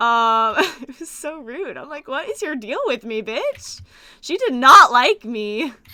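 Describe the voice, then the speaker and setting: A woman with an American accent uses a raised, projected voice at a fairly slow pace, her loudness swinging widely. Her pitch is high and swings very widely, with a bright, sharp tone. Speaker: streamer. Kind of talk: casual chat. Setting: live stream.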